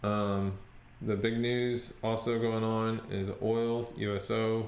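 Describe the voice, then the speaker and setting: Audible room echo fills the recording. A man speaks with a fairly low pitch. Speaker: stock trading youtuber. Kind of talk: screen-share tutorial and trading update. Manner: hesitant, many fillers.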